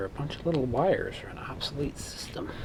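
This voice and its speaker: A man with an American accent keeps a fairly quick pace against noticeable background noise. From Chicago, south side (Morgan Park). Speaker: hobbyist electronics repairer, channel owner. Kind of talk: casual workbench vlog. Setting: home workbench with Christmas music playing. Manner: casual, rambling with fillers.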